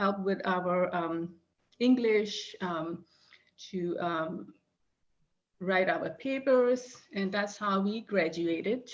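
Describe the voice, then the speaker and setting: Speech with a non-native accent comes very slowly, with ordinary pitch variation. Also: woman. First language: not English. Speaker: reference librarian. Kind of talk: conference presentation. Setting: video call. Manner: halting, many fillers.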